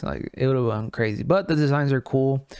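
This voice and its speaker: Recorded very cleanly against a silent background, with a dry, close sound and no echo, a man with a non-native accent speaks in an animated tone at a moderate pace, medium pitch and ordinary pitch variation. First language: not English. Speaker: gaming news podcast host. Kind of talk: casual news commentary. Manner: halting, many fillers and restarts.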